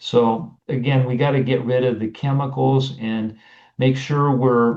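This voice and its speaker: A man has an unremarkable speaking voice at medium pitch. He talks at a fairly slow pace. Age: 60s. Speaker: naturopathic doctor. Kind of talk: interview.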